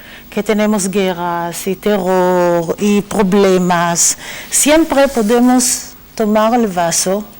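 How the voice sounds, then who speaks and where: A woman talks at a very slow pace with a medium pitch, ordinary pitch variation and very even loudness. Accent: non-native. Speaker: academic, chair director. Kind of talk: panel discussion.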